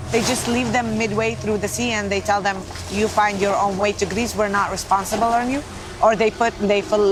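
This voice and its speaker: Against noticeable background noise, a woman with an Arabic accent speaks at a fairly quick pace, using a medium pitch and ordinary pitch variation. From Israel, Nazareth. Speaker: medical volunteer team leader. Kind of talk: documentary interview.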